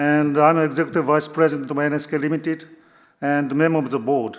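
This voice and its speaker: A man with a Japanese accent, fairly high-pitched, at a fairly quick pace with fairly even intonation. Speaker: company executive. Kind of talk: conference keynote.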